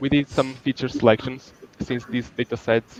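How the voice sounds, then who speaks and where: A man speaks at a moderate pace in a Portuguese accent, with monotone, flat intonation. The sound is dry and close with no echo, though there is noticeable background noise. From Portugal. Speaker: student researcher. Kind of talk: conference presentation. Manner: halting.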